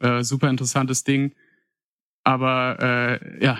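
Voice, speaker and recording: A man speaks at a very slow pace in a medium pitch. His intonation is monotone and flat. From Paderborn, Germany. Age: 20s. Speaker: listener contributor. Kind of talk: casual storytelling.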